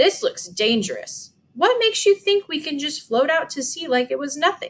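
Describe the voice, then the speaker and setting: A woman puts on a character voice with an extremely high pitch. Her pitch swings very widely. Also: moderate pace. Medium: read story. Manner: grumbling, skeptical.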